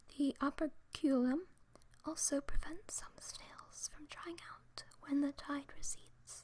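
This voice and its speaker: The pace is fairly slow. Everything comes out in a whisper. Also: woman. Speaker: ASMR creator. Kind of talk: ASMR story reading. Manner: whispered, soft-spoken.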